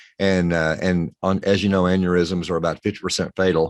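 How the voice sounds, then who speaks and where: A man's very deep, low voice in a Texan accent against a quiet background. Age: 60s. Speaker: pharmacist. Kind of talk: interview.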